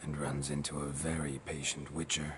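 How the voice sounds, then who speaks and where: A man does a put-on character voice at a moderate pace over loud background noise. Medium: game stream. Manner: terse, clipped.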